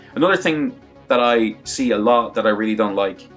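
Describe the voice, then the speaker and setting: With music in the background, the speaker moves at a fairly quick pace with lively intonation. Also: man. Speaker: fighting game commentator and video maker. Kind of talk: casual talk to camera, advice tutorial. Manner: conversational, candid.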